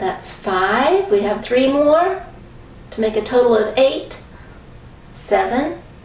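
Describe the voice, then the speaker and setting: Audible room echo surrounds a woman with a high pitch. She speaks at a very slow pace. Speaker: exercise instructor. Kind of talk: guided workout instruction. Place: home room. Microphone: camera far.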